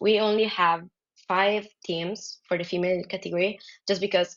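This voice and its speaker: A woman with an Italian accent speaks at a medium pitch in a flat, monotone way. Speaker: dodgeball player. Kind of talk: podcast interview. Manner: halting, many fillers.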